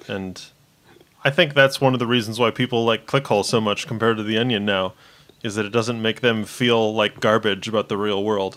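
With a normal speaking voice, a man talks at a fairly quick pace in a medium pitch and fairly even intonation. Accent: American. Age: 30s. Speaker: podcast guest. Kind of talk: casual political discussion.

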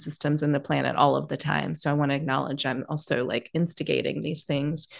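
Her voice carries vocal fry and a very deep, low pitch, with fairly even intonation. The woman keeps a moderate pace against a quiet background. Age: 40s. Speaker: podcast host. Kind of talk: casual interview.

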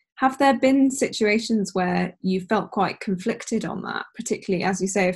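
A woman sounds somewhat breathy in a very clean recording with a silent background. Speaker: podcast host. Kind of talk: casual interview.

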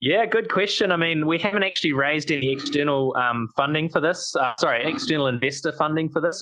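With a New Zealand accent, a man talks at a fairly quick pace with ordinary pitch variation. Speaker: startup founder. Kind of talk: casual interview chat.

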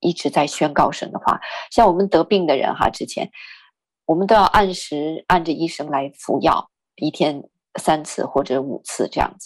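The recording is very clean and its background silent. A woman talks at a moderate pace. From northern China. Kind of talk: testimony.

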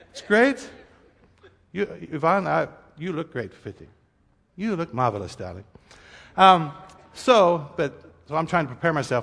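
This man's fairly high voice, with vocal fry, makes very wide pitch swings and big jumps in loudness, broken by long, frequent pauses. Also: fairly slow pace. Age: 40s. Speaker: pastor. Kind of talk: sermon. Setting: church. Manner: casual, conversational.

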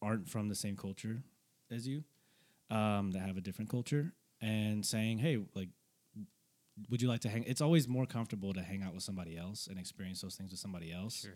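With an American accent, a man speaks at a fairly low pitch and a fairly quick pace, with ordinary pitch variation and long, frequent pauses. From North Texas. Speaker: barber. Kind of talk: casual chat. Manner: halting, repeats words.

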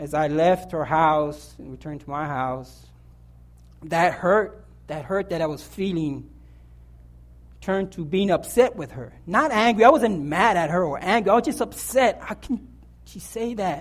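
At a moderate pace, a man talks in a high pitch with lively intonation. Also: big swings in loudness. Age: 40s. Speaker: lay preacher. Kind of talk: sermon. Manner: halting.

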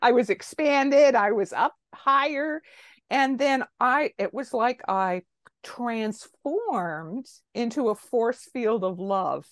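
Speaking very slowly in a Canadian accent, a woman uses a high pitch and lively intonation. The sound is dry and close with no echo, over a quiet background. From Canada, Toronto. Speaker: retired medical doctor and psychotherapist. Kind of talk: interview.

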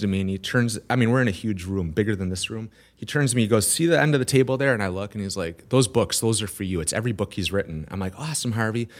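A man speaks with an American accent at a fairly low pitch, with ordinary pitch variation. The recording is very clean, with a silent background. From Wisconsin. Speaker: entrepreneur. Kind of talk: interview conversation. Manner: energetic.

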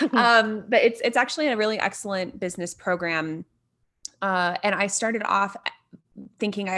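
Here a woman speaks with an American accent at medium pitch. Her tone is bright and sharp. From US Midwest, Indiana. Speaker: podcast co-host, entrepreneur. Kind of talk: casual interview chat.

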